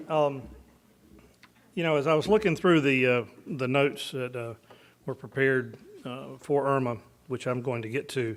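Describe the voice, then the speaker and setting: This man has a strong Southern US accent and a medium pitch, with ordinary pitch variation. He talks at a moderate pace with long, frequent pauses. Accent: thick US Southern. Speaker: military officer. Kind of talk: keynote speech. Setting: luncheon with audience.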